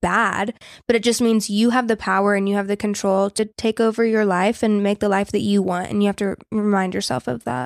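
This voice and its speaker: Recorded very cleanly with a silent background, a woman of medium pitch speaks at a fairly quick pace in a dry, close sound with no echo. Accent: Southern US. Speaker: podcast co-host. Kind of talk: casual chat. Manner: animated.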